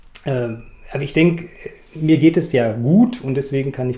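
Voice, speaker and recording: Noticeable noise sits behind the recording. The man's intonation is fairly even. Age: 50s. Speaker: amateur runner. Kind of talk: interview.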